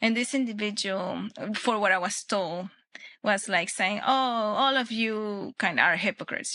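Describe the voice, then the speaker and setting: At a moderate pace, a woman speaks with a Spanish accent and ordinary pitch variation. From Venezuela. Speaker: Olympic shooter and firearms instructor. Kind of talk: podcast interview. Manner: halting with frequent fillers and restarts.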